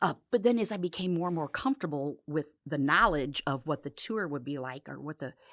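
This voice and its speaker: Recorded very cleanly with a silent background and a dry, close sound with no echo, a woman speaks at a very deep, low pitch. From US Midwest. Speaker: former cruise ship tour director. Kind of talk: podcast interview. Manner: animated.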